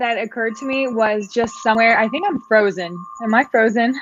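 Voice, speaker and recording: At a moderate pace, a woman with an American accent speaks at a fairly high pitch with ordinary pitch variation. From Pennsylvania, US. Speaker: beauty pageant winner. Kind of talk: online interview. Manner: casual, with filler words.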